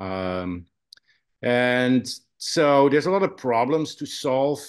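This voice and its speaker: A man speaks with a Dutch accent. The background is quiet. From Netherlands. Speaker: photographer and college professor. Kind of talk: presentation on video call. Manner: hesitant, many fillers.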